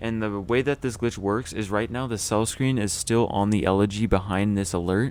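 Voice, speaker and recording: A man with a fairly low pitch talks with fairly even intonation. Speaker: gaming youtuber. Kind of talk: gameplay tutorial; casual chat. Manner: stumbling over words.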